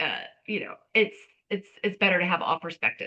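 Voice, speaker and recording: A woman speaks in an ordinary speaking voice. Her intonation stays fairly even. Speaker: resume and LinkedIn writer. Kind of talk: expert Q&A.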